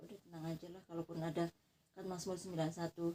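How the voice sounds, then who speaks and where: A woman's dark, mellow, somewhat breathy voice at a very fast pace. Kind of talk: casual private conversation. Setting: dark bedroom, informal home recording.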